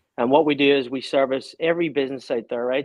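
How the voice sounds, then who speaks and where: At a very fast pace, a man with a Northern Irish accent speaks at a medium pitch with fairly even intonation. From Northern Ireland, Belfast. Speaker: small business owner. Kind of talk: casual interview.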